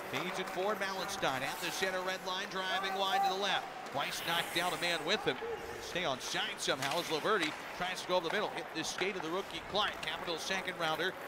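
A man speaks at a fairly quick pace in a high pitch. Loud background noise fills the recording, though the sound is dry with no echo. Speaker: hockey play-by-play announcer. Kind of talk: live hockey commentary. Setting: arena broadcast, radio network. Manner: rapid-fire, fluent play-by-play; animated, rising excitement on goals. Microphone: headset.

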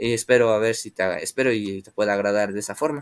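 A man with a Mexican accent at a moderate pace, against a quiet background. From Mexico. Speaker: aquarium hobby youtuber. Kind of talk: live stream chat with viewers. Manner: hesitant, many filler words. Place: home room. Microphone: webcam.

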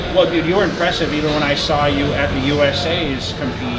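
Over loud background noise, a voice talks at a fairly quick pace with ordinary pitch variation. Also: man. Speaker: host interviewing an athlete. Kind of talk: interview. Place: gym. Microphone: phone near.

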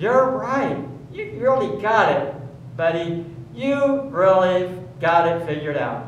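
A man's high voice at a very slow pace, with very wide pitch swings, audible room echo and light background noise. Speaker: pastor with a puppet. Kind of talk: children's message in church service. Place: church. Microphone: camera far.

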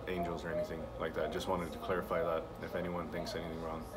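A man talks fairly quickly as noticeable noise runs in the background. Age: 20s. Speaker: vlogger. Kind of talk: casual vlog monologue. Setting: at the shop. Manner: halting, many fillers. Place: office. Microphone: phone near.

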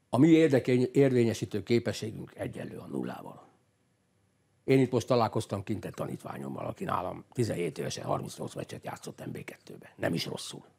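Over a quiet background, a man with a dark, mellow tone and vocal fry talks at a moderate pace, his intonation lively and his loudness swinging widely. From Hungary. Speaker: football coach. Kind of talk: studio interview. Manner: animated; halting. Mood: critical, indignant. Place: studio. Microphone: lapel.

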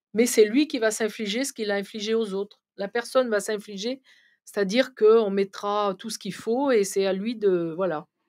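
A woman at a fairly high pitch, with ordinary pitch variation, big swings in loudness, and a quiet background. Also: moderate pace. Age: 60s. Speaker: medium; guest. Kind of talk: interview. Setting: live stream studio. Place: studio. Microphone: studio mic.

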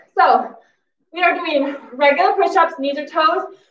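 A raised, projected voice with a bright, sharp tone, ordinary pitch variation and audible room echo. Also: woman. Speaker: fitness instructor. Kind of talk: workout instruction cues. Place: home room. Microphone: camera far.

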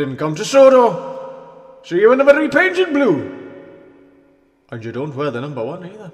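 Putting on a character voice, a man speaks at a high pitch and a moderate pace, leaving long, frequent pauses amid clear echo. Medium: dub. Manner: gentle, mysterious.

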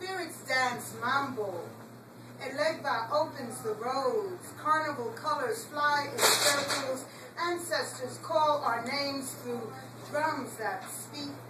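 Over noticeable background noise, a woman speaks at a very slow pace in a raised, projected voice. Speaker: poet. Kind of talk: poetry reading. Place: cafe. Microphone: camera far.

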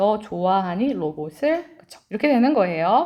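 Her speech is animated, with very wide pitch swings around a medium pitch for a woman. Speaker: English teacher. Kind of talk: lecture.

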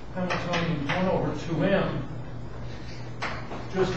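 A man's voice amid noticeable background noise and strong room echo. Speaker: university lecturer. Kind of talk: lecture. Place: classroom. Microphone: camera far.

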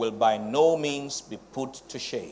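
A man talks with lively intonation against light background noise. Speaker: presiding pastor preaching. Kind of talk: sermon. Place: church.

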